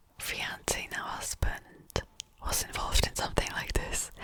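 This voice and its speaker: Whispering from a woman at a fairly slow pace, noticeable background noise behind her. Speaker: ASMR youtuber. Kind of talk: casual commentary ramble. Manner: whispered.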